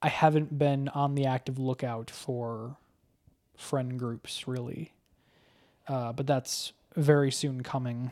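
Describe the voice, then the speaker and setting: A man with a medium pitch speaks very slowly, in a monotone, flat intonation, with long, frequent pauses. The recording is very clean, with a silent background. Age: 20s. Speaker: podcast co-host. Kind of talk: casual chat.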